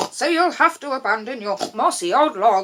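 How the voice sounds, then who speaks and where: A woman's put-on character voice, high in pitch, with very wide pitch swings. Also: moderate pace. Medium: read story. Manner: sniffy.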